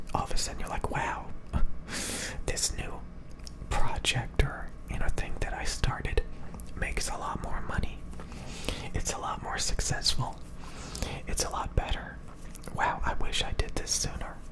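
Whispering and soft-spoken, a man talks at a moderate pace with long, frequent pauses amid noticeable background noise. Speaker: content creator. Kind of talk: casual advice talk, soft-spoken. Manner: soft close-mic ASMR whisper. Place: home room. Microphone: studio mic.

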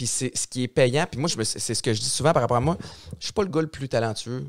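The voice moves at a fairly quick pace with ordinary pitch variation over a quiet background. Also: man. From Montreal-Nord, Quebec; Quebec. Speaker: podcast host, radio host, former football player; podcast host, radio host. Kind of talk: casual chat. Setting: studio. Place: studio. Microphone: studio mic.

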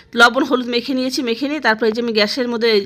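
Her tone is bright and sharp. The woman has a high pitch and fairly even intonation. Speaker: home vlogger. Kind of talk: voice-over vlog narration. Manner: halting, stumbling over words; casual.

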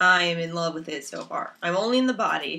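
This woman's voice sits fairly low in pitch and has a bright, sharp tone.

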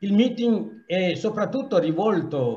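A man with a non-native accent talks at a fairly slow pace, his intonation lively. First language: not Italian (speaking Italian). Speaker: association president. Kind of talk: welcome speech. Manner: halting. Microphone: video call.

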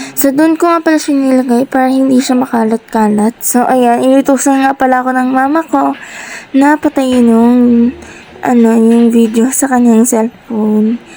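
Her voice high, a woman speaks at a moderate pace with fairly even intonation and very even loudness. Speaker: vlogger. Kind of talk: voice-over narration.

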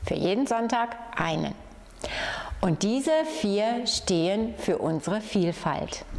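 A warm tone comes through at a very slow pace, with lively intonation and very even loudness. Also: woman, fairly high pitch for a woman. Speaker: head of municipal youth, family and senior services. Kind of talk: community project announcement. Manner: friendly, warm. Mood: warm, friendly. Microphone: lapel.

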